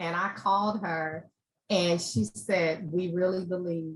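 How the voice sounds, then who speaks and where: Woman's voice, fairly low in pitch, with ordinary pitch variation. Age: 60s. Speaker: panel speaker sharing adoption story. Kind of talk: testimony.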